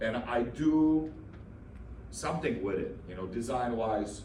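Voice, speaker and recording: A man with a slight non-native accent speaks at a fairly slow pace and medium pitch, with lively intonation. There is audible room echo and noticeable background noise. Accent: slight foreign. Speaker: handyman. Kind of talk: business networking presentation. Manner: hesitant, many fillers.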